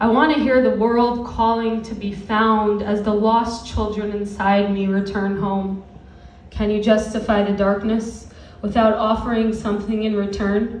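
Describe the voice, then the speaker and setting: Over noticeable background noise, a woman with a fairly high pitch speaks at a fairly slow pace in a flat, monotone way. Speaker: spoken word poet. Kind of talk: spoken word poetry performance. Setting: live venue.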